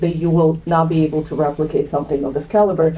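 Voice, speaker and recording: Over noticeable background noise, a woman talks at a fairly low pitch in a monotone, flat intonation. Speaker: real estate sales director. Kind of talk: panel discussion. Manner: loud. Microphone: speaking without a microphone.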